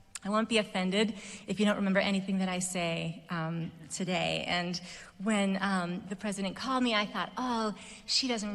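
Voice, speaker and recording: Audible room echo around a woman's fairly even, medium-pitched speech. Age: 40s. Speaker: commencement speaker, musician. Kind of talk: commencement speech. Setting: stage with audience. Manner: hesitant, many fillers.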